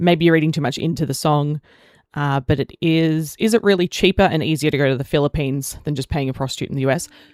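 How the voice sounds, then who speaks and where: In an Australian accent, a woman speaks very fast with a very deep, low pitch and ordinary pitch variation. The recording is very clean and dry, close with no echo and a silent background. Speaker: gaming streamer. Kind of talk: live stream chat. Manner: casual, rambling.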